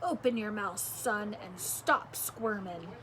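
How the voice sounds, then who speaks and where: A woman uses a put-on character voice at a medium pitch and a fairly slow pace. Clear background noise is audible. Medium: read story. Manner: low, under his breath.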